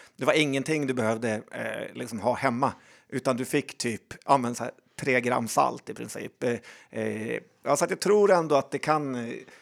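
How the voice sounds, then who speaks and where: Heard in a very clean recording with a silent background, a man at medium pitch shows vocal fry, ordinary pitch variation and a moderate pace. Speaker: podcast co-host. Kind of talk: casual chat.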